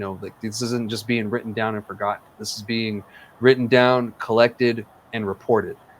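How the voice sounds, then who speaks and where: A man speaks at a moderate pace and medium pitch, his intonation monotone and flat. His loudness swings widely. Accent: New Mexico. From New Mexico, Otero County. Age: 30s. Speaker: podcast host. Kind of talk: casual interview chat. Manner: hesitant, many fillers.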